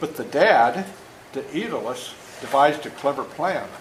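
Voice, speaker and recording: Audible room echo and noticeable background noise surround a man with a fairly high pitch. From rural US, dairy farm. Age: 70s. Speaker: author reading to children. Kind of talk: reading aloud. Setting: classroom with children. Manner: animated, engaging with kids.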